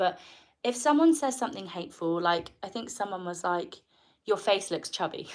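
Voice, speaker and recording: Her pitch medium, a woman speaks with a strong English accent. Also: very clean recording, silent background. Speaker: live streamer. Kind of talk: casual live stream talk.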